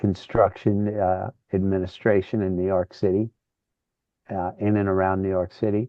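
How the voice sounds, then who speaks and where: The delivery is monotone and flat at a moderate pace. The speaker has an American accent. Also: man, fairly low pitch for a man. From Connecticut, New Haven. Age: 60s. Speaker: rock guitarist. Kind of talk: casual interview.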